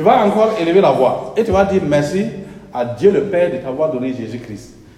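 A man at a fairly high pitch and moderate pace, with audible room echo and noticeable background noise. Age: 60s. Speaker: pastor. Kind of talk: sermon. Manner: animated.

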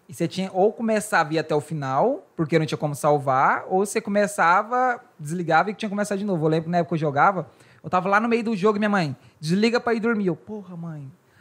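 On a very clean recording with a silent background, a high-pitched man talks at a very fast pace with ordinary pitch variation. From Brazil, Goiás. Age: 20s. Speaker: podcast host. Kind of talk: casual chat.

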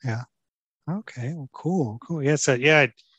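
Close and dry with no echo, a man speaks at a moderate pace with a Texan accent. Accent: Texan American. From Houston, Texas. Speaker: cycling podcast host. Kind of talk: casual interview chat; scripted announcements. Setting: outdoors at a ride. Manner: halting, many fillers.

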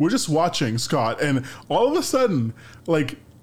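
A man talks at a fairly slow pace in a fairly high voice with very wide pitch swings. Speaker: podcast co-host. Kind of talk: casual chat. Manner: loud; halting, repeats words.

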